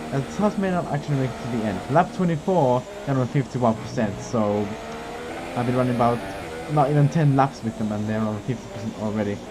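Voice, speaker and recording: A man's medium-pitched, lively-intoned voice at a very fast pace, with noticeable background noise. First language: not English. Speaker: sim racing gamer and YouTuber. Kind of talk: gameplay commentary. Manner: animated.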